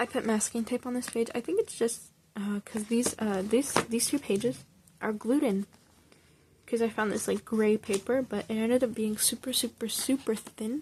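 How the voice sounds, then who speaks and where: This woman has an ordinary speaking voice, pitched fairly high, with fairly even intonation. She speaks at a moderate pace. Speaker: hobby artist showing sketchbook. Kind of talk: casual show-and-tell.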